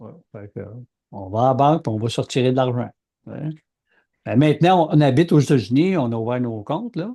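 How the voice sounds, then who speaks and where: A man with a Quebec accent speaks at a moderate pace and medium pitch, with a dark, mellow tone and lively intonation. His loudness swings widely, and he takes long, frequent pauses. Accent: Québécois French. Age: 60s. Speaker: podcast co-host, aircraft engine designer. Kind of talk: casual chat.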